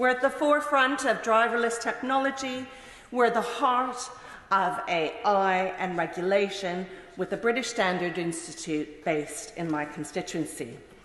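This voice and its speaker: At a moderate pace, the voice moves through very wide pitch swings, with audible room echo and noticeable background noise. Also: woman, medium pitch for a woman. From Canada. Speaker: politician. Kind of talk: parliamentary speech. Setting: parliament chamber. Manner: formal.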